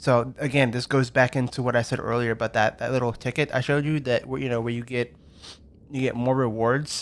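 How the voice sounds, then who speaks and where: On a very clean recording with a silent background, a man's medium-pitched voice moves with ordinary pitch variation. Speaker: gaming youtuber. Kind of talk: gameplay walkthrough commentary. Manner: fast; halting, many fillers.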